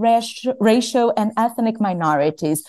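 A woman speaks with a Portuguese accent. Her tone is dark and mellow, with lively intonation. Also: quiet background. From Brazil. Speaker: climate lawyer. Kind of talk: academic panel discussion.

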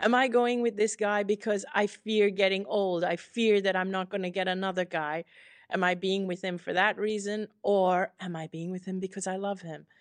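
Against a quiet background, a woman with a normal speaking voice talks at a moderate pace, at medium pitch and with fairly even intonation. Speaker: author. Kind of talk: interview.

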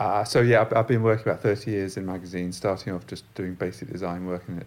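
With a London accent, a man speaks very fast in a very deep, low pitch with fairly even intonation, on a very clean recording with a silent background. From London, England. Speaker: magazine designer and shop owner. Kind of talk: interview. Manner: halting.

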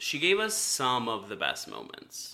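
Lively intonation and a bright, sharp tone mark a man speaking at a moderate pace. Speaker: podcast co-host. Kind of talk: casual chat.

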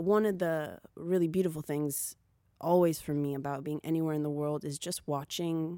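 In a very clean recording with a silent background, a woman speaks at a very deep, low pitch with fairly even intonation. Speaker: musician rapper singer. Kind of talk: casual interview chat. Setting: studio interview after sound check.

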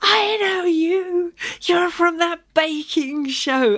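A put-on character voice bellows at an extremely high pitch. The pace is very slow. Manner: bellowing.

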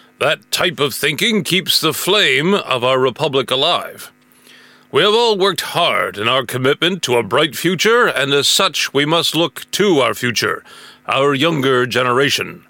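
Lively intonation marks a man's talk at a fairly slow pace. He has a plain, everyday voice. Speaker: in-character general giving recruitment speech. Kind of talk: scripted sci-fi propaganda announcement. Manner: stiff, formal official address, bureaucratic and reluctant at the start; upbeat, polished recruiting pitch, then sugary cheerful sales-like.

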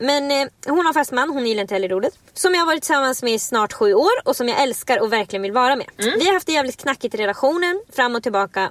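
At a very fast pace and with hardly any pauses, a woman speaks in a high pitch with very wide pitch swings. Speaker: podcast co-host. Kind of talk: casual chat.

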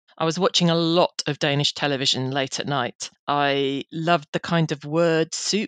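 A woman with an English accent, fairly low in pitch, at a moderate pace, in a dry, close sound with no echo. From England. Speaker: careers editor. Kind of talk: interview. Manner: fluent, articulate.

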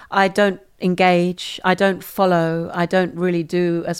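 Her voice is fairly low and flat in a monotone. The woman speaks at a fairly slow pace. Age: 60s. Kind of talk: interview. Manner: halting.

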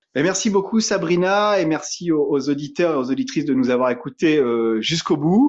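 Hardly pausing, a man talks at a high pitch with very wide pitch swings. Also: moderate pace, very even loudness. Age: 30s. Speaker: eco-product entrepreneur. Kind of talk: interview. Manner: hesitant, many fillers.

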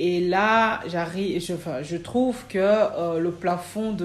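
In a room with audible echo, a woman talks very slowly at a medium pitch with ordinary pitch variation. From Cameroon. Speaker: midwife and midwifery trainer. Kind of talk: interview. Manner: hesitant, many fillers.

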